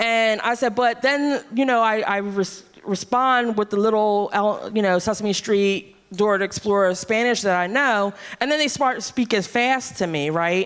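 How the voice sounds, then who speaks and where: With an ordinary speaking voice, a woman talks at a fairly high pitch and moderate pace, her pitch varying in an ordinary way and her loudness very even. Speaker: comedy show host. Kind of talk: stage banter.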